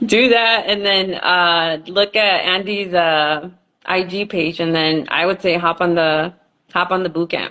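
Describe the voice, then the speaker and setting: A woman's fairly low-pitched, an ordinary speaking voice, fairly slow in pace with fairly even intonation. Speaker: online group host. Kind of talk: casual chat.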